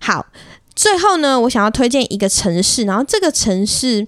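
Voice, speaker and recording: Moderate-paced speech in a Taiwanese accent with a dry, close sound and no echo. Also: woman. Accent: Taiwanese Mandarin. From Taiwan, Sanxia (New Taipei). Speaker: podcast host. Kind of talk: casual solo monologue. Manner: chatty, code-switches into English.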